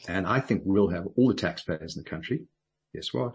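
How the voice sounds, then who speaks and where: A man speaks at a fairly quick pace with lively intonation. His voice is fairly low and somewhat breathy. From South Africa. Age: 60s. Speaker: businessman and political activist. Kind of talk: radio interview.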